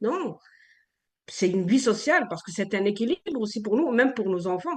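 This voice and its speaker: A woman speaks at a fairly quick pace, her fairly high voice carrying lively intonation. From Algeria. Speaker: radio columnist. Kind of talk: casual radio discussion.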